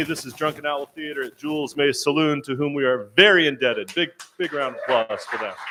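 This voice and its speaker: A man talks at a very fast pace with hardly any pauses, his fairly high pitch held to a fairly even intonation. His loudness swings widely over noticeable background noise. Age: 60s. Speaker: theatre host and emcee. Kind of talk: live show hosting. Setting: stage with audience in a saloon. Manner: halting.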